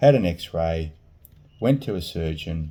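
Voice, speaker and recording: A man speaks with an Australian accent. His very deep, low voice has a dark, mellow tone. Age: 50s. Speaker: vlogger sharing surgery experience. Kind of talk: personal testimony vlog. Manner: halting.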